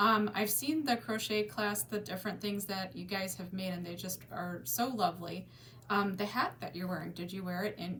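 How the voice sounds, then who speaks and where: Lively intonation and a moderate pace in an unremarkable speaking voice. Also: woman, medium pitch for a woman. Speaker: library interviewer. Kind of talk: interview questions. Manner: warm, upbeat.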